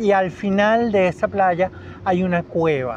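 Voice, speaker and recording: A high-pitched man at a very slow pace with fairly even intonation. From Venezuela, Caracas. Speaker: biologist, educator and children's author. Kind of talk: radio interview.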